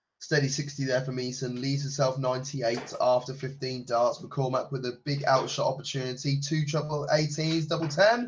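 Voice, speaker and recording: A man with a fairly high voice talks at a fairly quick pace over background music, keeping his intonation fairly even and barely pausing. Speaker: darts commentator. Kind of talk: live commentary.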